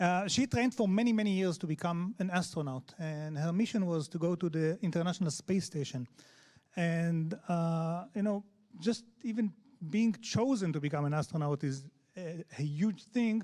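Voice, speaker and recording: A man speaks at a moderate pace with a strong Israeli accent. His voice is high for a man, with a dark, mellow tone and ordinary pitch variation. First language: Hebrew. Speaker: head of accessibility at a tech company. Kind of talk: conference talk. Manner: halting, many fillers.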